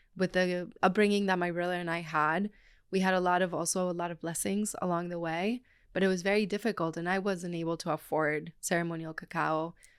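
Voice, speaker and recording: A woman talks at a fairly quick pace in a fairly low, monotone voice with flat intonation. The recording is very clean, with a silent background. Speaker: cacao ceremony guide and brand co-founder. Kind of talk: casual interview conversation.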